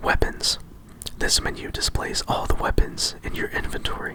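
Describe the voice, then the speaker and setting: The voice is a whisper. Noise in the background is noticeable. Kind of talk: ASMR whisper reading of a game instruction manual. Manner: whispered, calming.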